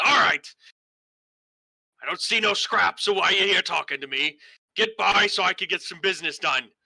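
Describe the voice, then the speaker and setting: A man puts on a raspy, high-pitched character voice at a moderate pace. He leaves long, frequent pauses, and the sound is dry and close with no echo. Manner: impatient, brusque.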